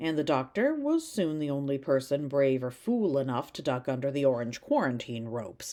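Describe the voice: Someone reads the text out plainly.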